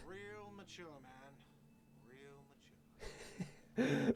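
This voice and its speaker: A man puts on a whiny character voice at a fairly high pitch. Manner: shouting.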